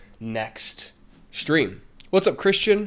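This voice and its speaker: A man's voice swings very widely in pitch. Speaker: screenwriting teacher. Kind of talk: live stream tutorial. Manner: casual, with many fillers.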